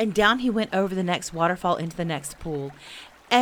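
Someone is doing plain reading aloud. The pitch variation is ordinary.

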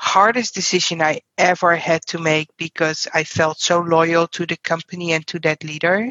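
Speaking in a Dutch accent, a woman with a fairly low pitch talks at a moderate pace with fairly even intonation and hardly any pauses. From Netherlands. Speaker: payroll executive. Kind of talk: interview. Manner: direct.

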